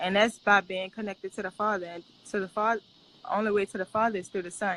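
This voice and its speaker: Here a woman speaks at a fairly quick pace in a New Orleans accent. Her medium-pitched voice has a bright, sharp tone. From New Orleans, US South. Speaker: missionary and public speaker. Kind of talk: interview testimony. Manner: casual.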